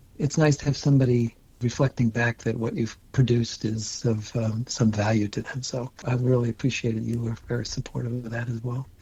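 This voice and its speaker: A man talks at a fairly quick pace with a medium-pitched voice. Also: fairly even intonation. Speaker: osteopathic physician. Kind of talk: interview. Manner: fast.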